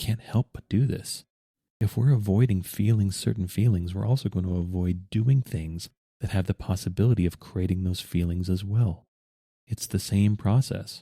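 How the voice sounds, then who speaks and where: A man's dark, mellow, somewhat breathy voice at a fairly low pitch, with ordinary pitch variation, a moderate pace and a very clean recording against a silent background. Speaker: podcast host. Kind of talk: podcast monologue.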